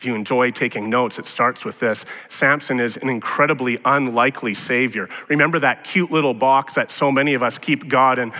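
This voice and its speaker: At a moderate pace, a man with an unremarkable speaking voice talks at a medium pitch with fairly even intonation. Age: 40s. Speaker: pastor. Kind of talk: sermon.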